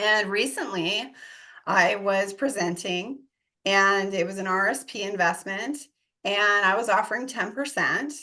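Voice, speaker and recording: A woman with an American accent speaks at a fairly slow pace in a bright, sharp tone with ordinary pitch variation. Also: medium pitch for a woman. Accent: American, shows at times. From US, Denver Colorado. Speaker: real estate investor and coach. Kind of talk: podcast interview. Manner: animated.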